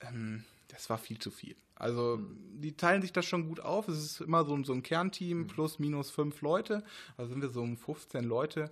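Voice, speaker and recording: Lively intonation marks a man's fairly high voice at a moderate pace. The background is quiet. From Ruhr area, Germany (Essen). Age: 20s. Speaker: race organizer and chemistry researcher. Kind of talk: interview. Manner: hesitant, many fillers.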